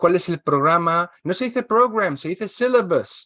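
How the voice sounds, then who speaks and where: Lively intonation and a moderate pace come through a dry, close sound with no echo and a quiet background. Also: man. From Spain. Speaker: translator and English teacher. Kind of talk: interview.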